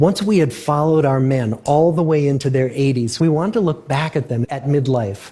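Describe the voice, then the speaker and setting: A man speaks with a dark, mellow, somewhat breathy tone. His intonation is lively and his pace moderate. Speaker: research scientist. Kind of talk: public lecture.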